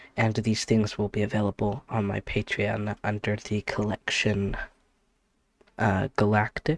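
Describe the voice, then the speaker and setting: Recorded with a dry, close sound with no echo, a man with a fairly low pitch speaks at a fairly slow pace. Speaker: tabletop game designer and content creator. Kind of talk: tutorial. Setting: home with people in the other room. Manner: halting with fillers; quiet.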